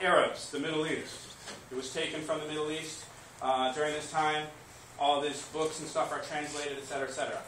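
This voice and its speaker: A man talks fairly quickly, with noticeable background noise and room echo both audible. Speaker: high school teacher. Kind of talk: classroom lecture. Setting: classroom with students. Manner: fast.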